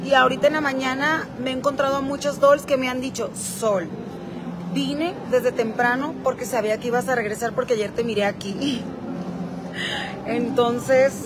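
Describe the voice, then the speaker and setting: Noticeable background noise sits behind a woman speaking at a fairly slow pace. Her pitch varies in an ordinary way. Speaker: influencer streaming live. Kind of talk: casual vlog chat. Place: hall. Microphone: phone near.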